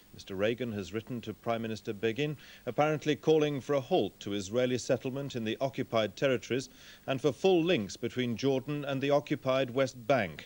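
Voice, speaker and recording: Here is a man with an ordinary speaking voice, pitched medium and showing ordinary pitch variation. He talks at a fairly quick pace in a very clean recording with a silent background. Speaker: newsreader. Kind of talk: TV news bulletin read.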